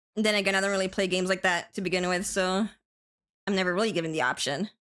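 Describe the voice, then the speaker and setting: In an American accent, a woman talks at a very fast pace with an animated tone and very even loudness. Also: medium pitch for a woman. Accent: American-sounding English. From Spain. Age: 30s. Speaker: vtuber streamer. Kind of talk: casual chat. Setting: live stream.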